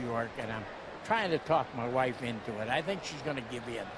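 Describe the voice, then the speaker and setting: Against noticeable background noise and audible room echo, a man with an American accent talks with ordinary pitch variation. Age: 80s+. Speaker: war veteran. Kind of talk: interview. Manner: halting.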